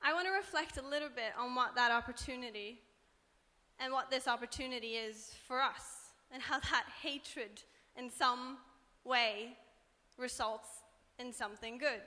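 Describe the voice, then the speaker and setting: A woman with a high pitch and a bright, sharp tone speaks at a moderate pace with ordinary pitch variation and long, frequent pauses. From Norway. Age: 20s. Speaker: student activist. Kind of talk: panel talk.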